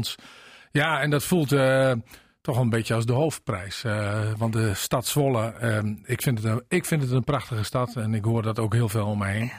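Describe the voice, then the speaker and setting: A somewhat breathy man speaks at a moderate pace with ordinary pitch variation. The recording is very clean, with a silent background. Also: medium pitch for a man. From Drenthe. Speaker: mayor. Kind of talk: radio interview.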